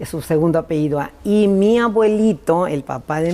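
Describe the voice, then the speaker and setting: The tone is dark and mellow, with lively intonation. The pace is fairly slow. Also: woman. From Mexico, Tijuana, Baja California. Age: 70s. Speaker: church leader. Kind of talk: interview.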